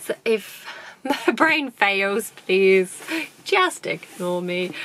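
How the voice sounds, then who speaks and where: With a British accent, a woman at medium pitch talks at a very slow pace with lively intonation over noticeable background noise. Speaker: YouTuber doing unboxing videos. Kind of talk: casual unboxing vlog. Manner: hesitant, with fillers.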